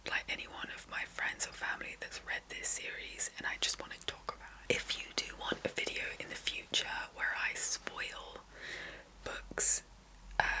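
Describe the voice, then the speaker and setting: A woman whispering at a moderate pace, big swings in loudness, noticeable background noise behind her. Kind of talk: book review talk to camera. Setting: ASMR recording. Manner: whispered, soft-spoken.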